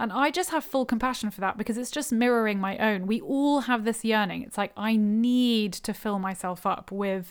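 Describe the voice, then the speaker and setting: In a normal speaking voice, a woman talks at a fairly high pitch and moderate pace with fairly even intonation, on a very clean recording with a silent background. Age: 30s. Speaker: spiritual podcast host. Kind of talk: solo talk. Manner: casual and reflective, with laughter.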